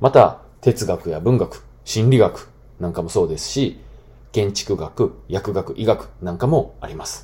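A man speaks at a fairly slow pace in a somewhat breathy voice, with lively intonation and big swings in loudness. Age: 30s. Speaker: podcast host, former school teacher. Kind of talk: solo talk podcast monologue. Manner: casual with many fillers.

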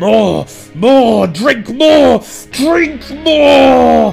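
Someone speaks in a put-on character voice. Music plays clearly behind it. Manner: roaring, ravenous, shouted.

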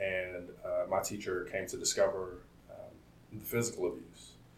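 Room echo is audible around this man's voice. He talks at a moderate pace. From Compton, California. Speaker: software engineer. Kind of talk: interview. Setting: office campus.

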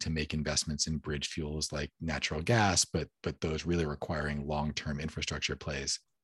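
In a dry, close recording with no echo, a man with a very deep, low pitch speaks at a fairly quick pace, somewhat breathy. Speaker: podcast host. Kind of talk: casual chat. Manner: casual, conversational.

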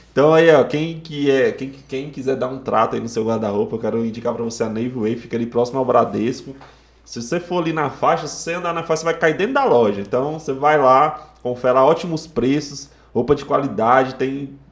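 A man talks at a fairly quick pace in a medium pitch with ordinary pitch variation. He has an ordinary speaking voice. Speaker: podcast host. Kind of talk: casual chat. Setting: studio.

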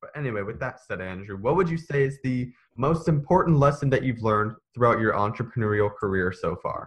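Against a quiet background, a man speaks at a fairly quick pace and a medium pitch, somewhat breathy and with lively intonation. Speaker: podcast host. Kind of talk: interview. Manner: tongue-tied at times.

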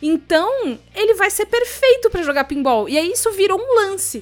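A woman talks at a moderate pace with hardly any pauses and an animated tone. Her extremely high voice makes very wide pitch swings. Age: 20s. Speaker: podcaster and voice performer. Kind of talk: casual chat. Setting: remote call.

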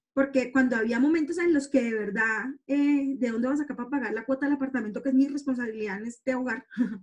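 Her pitch is high and her pace very fast. The woman speaks with hardly any pauses. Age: 40s. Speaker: public relations professional and blogger. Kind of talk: interview testimony. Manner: hesitant with many fillers.

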